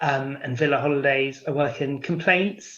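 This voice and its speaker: Against a quiet background, a man with a British accent speaks in a bright, sharp tone at a fairly high pitch, with fairly even intonation. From England (London area). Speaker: prospective parent, travel company worker. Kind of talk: interview.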